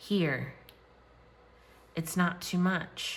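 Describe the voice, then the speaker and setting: A woman's shaky, fairly low-pitched voice carries audible room echo. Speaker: tarot reader. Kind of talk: tarot reading.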